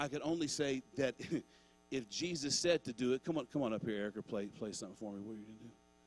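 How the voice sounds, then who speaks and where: A man talking at a very fast pace, his loudness swinging widely, with music in the background. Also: medium pitch for a man, ordinary pitch variation, dry, close sound with no echo. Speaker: pastor. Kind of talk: sermon at a church Christmas gathering, closing with prayer and benediction. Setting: church with a live congregation and online viewers. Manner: warm, fervent, and exhortative, urging the congregation to respond aloud; conversational and informal, with filler words and casual asides like 'man'.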